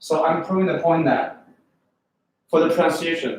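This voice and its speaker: A man's high-pitched voice with a strong Chinese accent, at a moderate pace, with audible room echo. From China. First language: Chinese (Mandarin). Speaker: English test prep teacher. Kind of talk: lecture. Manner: animated.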